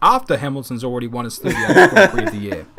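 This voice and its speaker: A man with a New Zealand accent talks at a very fast pace through noticeable background noise. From New Zealand, Auckland. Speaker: YouTuber. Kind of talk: casual chat.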